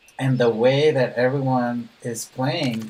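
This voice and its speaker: Soft-spoken and calm, a man talks at a very slow pace with a medium pitch over noticeable background noise. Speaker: gaming streamer. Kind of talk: live stream chat while gaming. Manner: slow, calm.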